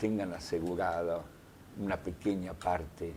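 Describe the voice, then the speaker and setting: A man speaks at a very slow pace in a very deep, low voice with fairly even intonation, over noticeable background noise. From Soviet Union, raised in Argentina from childhood. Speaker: journalist and writer. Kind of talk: interview. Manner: reflective.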